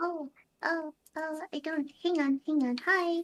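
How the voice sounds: A put-on character voice, pitched high, comes at a fairly slow pace.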